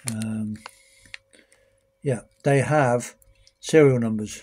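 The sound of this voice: A man's voice with a slightly husky edge and fairly even intonation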